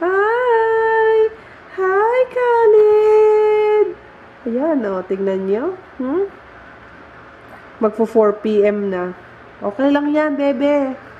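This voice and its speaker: Amid noticeable background noise, a high-pitched woman talks at a very slow pace with long, frequent pauses and very wide pitch swings. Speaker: vlogger. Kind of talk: casual vlog.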